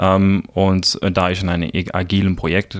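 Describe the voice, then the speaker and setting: A man is speaking here. His voice is very deep and low. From South Africa. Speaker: project manager. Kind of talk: interview. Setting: studio. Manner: hesitant, many fillers.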